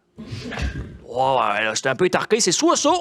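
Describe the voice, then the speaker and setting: A man talks in an animated tone. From Magdalen Islands, Quebec. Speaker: storyteller. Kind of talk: storytelling performance. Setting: stage with small audience.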